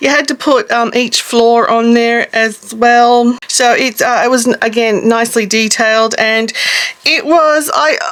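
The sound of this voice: A woman's fairly high, fairly bright voice, fairly slow and fairly even in intonation, with few pauses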